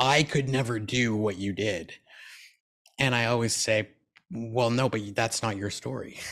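A man talks at a fairly slow pace and a medium pitch, with ordinary pitch variation and long, frequent pauses. The recording is very clean, with a silent background. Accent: Canadian. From Canada. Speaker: keynote speaker and transplant recipient. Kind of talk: interview.

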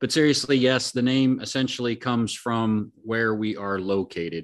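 An ordinary speaking voice with an American accent, moderate pace, ordinary pitch variation, and a quiet background. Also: man. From Oregon. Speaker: podcast host, card collector. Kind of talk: casual chat.

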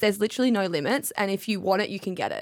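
With an Australian accent, a woman races along at a very fast pace at medium pitch. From Tasmania, Australia. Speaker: radio brand lead and announcer. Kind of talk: casual chat.

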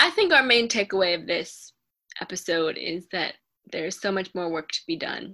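Her tone bright and sharp, a woman with an American accent speaks at a medium pitch. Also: ordinary pitch variation, moderate pace. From Baltimore, Maryland. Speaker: podcast co-host. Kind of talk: casual chat.

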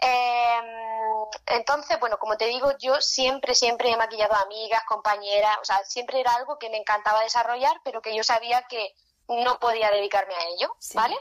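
Talking at a fairly quick pace, a woman has a fairly high pitch and ordinary pitch variation. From Spain, Murcia region (small town). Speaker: makeup artist. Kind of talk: interview.

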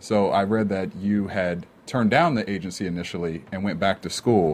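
A man speaks at a fairly low pitch with ordinary pitch variation. It is an unremarkable speaking voice. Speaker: talk show host. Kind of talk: interview. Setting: studio.

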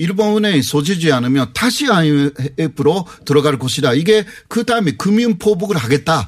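Pitch swings very widely while loudness stays very even. The pace is fairly slow over noticeable background noise. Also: man, hardly any pauses. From Japan. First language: Japanese (speaking Korean). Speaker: university professor. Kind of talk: interview.

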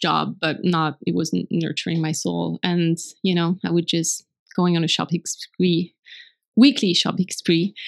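Fairly slow speech with a French accent on a very clean recording with a silent background. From France. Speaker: blogger and translator. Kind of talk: casual interview conversation.

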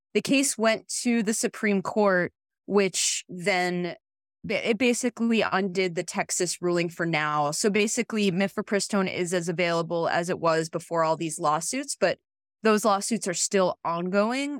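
This is a woman with an unremarkable speaking voice, talking at a moderate pace with ordinary pitch variation. The recording is very clean, with a silent background. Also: medium pitch for a woman, dry, close sound with no echo. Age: 40s. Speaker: lawyer. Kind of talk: casual chat.

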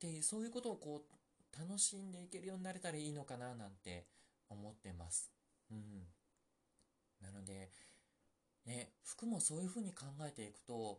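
Soft-spoken and somewhat breathy, a man talks at a fairly high pitch with very wide pitch swings and long, frequent pauses. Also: moderate pace. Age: 40s. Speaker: podcast host. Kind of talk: casual solo chat.

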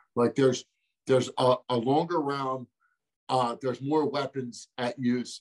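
In an American accent, the voice moves at a moderate pace with a dry, close sound and no echo. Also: man. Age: 30s. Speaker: MMA fighter. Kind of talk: interview. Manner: casual, animated.

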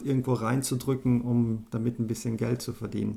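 At a moderate pace, a man speaks with a somewhat breathy, dark and mellow tone at a medium pitch. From South Tyrol, Italy (German-speaking). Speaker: animator and app designer. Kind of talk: casual interview chat.

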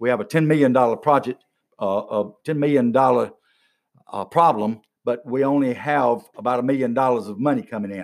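At a fairly quick pace, a man with a medium-pitched voice talks with an Alabama accent. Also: ordinary pitch variation. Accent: US Southern (Alabama). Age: 60s. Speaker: county commission candidate, retired regional manager. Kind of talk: casual interview. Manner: energetic.

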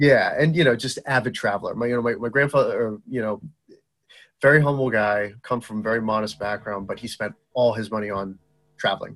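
With a Boston accent, a man speaks at a medium pitch and a fairly quick pace. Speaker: entrepreneur and medical device founder. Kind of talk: casual interview chat. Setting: remote call, early morning. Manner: animated.

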